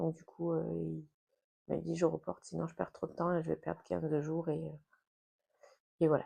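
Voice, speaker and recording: Soft-spoken, a woman talks at a fairly quick pace. The sound is dry and close, with no echo. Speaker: lifestyle vlogger and school support assistant. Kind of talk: casual vlog talk to camera. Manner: soft-spoken, keeping voice low.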